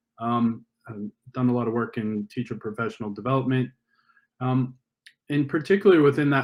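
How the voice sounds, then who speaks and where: Speaking with an American accent, a man has a plain, everyday voice at a medium pitch, a moderate pace and fairly even intonation. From US, Northern California. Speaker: education and STEM industry partnerships presenter. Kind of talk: conference presentation. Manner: many fillers and false starts.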